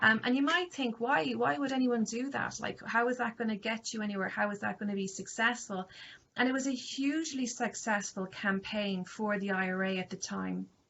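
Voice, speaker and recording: Speaking in an Irish accent at a fairly quick pace, a woman uses ordinary pitch variation. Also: fairly high pitch for a woman. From Ireland. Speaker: university lecturer. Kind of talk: lecture. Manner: hesitant, many fillers.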